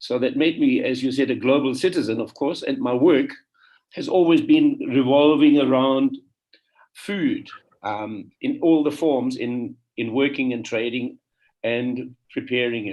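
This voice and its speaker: A man with a German accent at a fairly slow pace. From Germany. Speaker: panelist, trade council member. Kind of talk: panel discussion.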